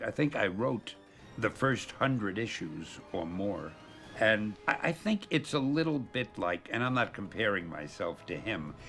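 A man speaks at a fairly slow pace in a fairly low pitch. Faint music plays in the background. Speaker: interviewee. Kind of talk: interview answer. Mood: warm, amused. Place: home room.

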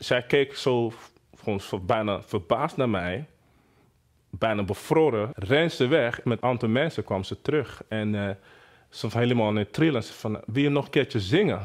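A man with a Nigerian accent at medium pitch and a fairly slow pace, with ordinary pitch variation, long, frequent pauses and a quiet background. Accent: Nigerian-accented Dutch. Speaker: singer and producer. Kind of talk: interview testimony. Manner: halting, many hesitations. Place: home room. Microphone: lapel.

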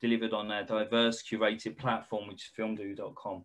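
A man's words come at a moderate pace, with only a quiet background behind them. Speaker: company representative hosting a webinar. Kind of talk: webinar presentation and moderated Q&A. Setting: video call. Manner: hesitant, many filler sounds. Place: home room. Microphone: webcam.

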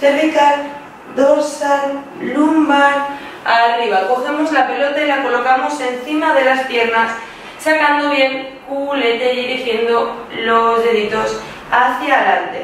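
Very slowly and with very even loudness, a high-pitched woman speaks with fairly even intonation amid light background noise and strong room echo. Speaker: pilates instructor. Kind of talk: exercise class instructions.

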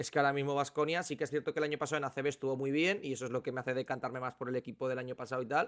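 A man at a fairly high pitch and a very fast pace, with hardly any pauses and fairly even intonation, over a quiet background. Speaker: basketball podcast co-host. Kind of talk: casual sports analysis chat. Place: home room. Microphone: studio mic.

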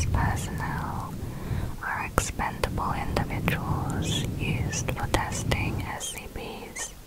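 A soft-spoken woman whispers at a very slow pace. Loud background noise is present. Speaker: narrator. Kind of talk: soft-spoken ASMR storytelling. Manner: soft close-mic ASMR whisper. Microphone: studio mic.

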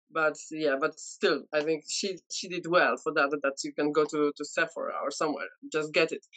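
Against a quiet background, a woman with a Polish accent speaks at a very deep, low pitch. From Poland. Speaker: beauty content creator. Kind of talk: casual chat. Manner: halting. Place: home room. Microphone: video call.

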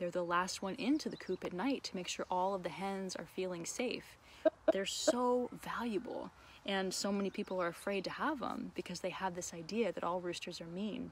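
Against light background noise with a dry sound and no echo, a woman speaks at a moderate pace with ordinary pitch variation. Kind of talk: casual educational vlog chat. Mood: warm and enthusiastic. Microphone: phone near.

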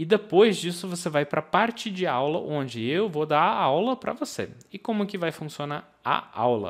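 A man's high-pitched voice with lively intonation, a moderate pace and hardly any pauses, against a quiet background. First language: English (speaking Portuguese). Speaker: English teacher. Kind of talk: online course lesson. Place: home room. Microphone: studio mic.

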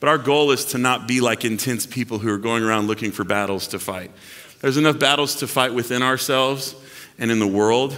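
This man's pace is fairly quick. The variation in his pitch is ordinary. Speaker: pastor. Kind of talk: sermon. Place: church.

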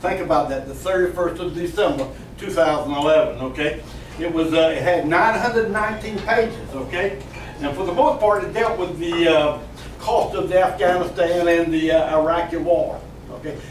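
Over light background noise and audible room echo, a man speaks at a fairly slow pace, high-pitched for a man, with ordinary pitch variation. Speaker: speaker. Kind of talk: speech to a group. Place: cafe. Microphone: camera far.

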